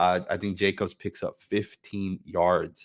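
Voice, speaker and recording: A man is talking. His accent is Californian. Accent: Californian American English. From Northern California. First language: not English (home language of immigrant parents). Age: 20s. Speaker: sports fan streamer. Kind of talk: live game watch-along commentary. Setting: live stream from home computer. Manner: casual, many fillers (um, uh, right).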